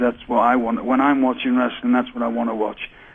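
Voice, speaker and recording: A man delivers his words at a fairly quick pace against noticeable background noise. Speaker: veteran pro wrestler. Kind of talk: casual talk-show interview answer.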